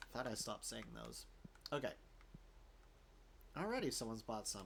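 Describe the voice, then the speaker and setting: With a slight Southern US accent, a man speaks at a fairly quick pace. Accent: slight Southern tinge. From US South, Florida. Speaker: gaming YouTuber. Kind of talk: gameplay commentary. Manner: casual, halting with fillers.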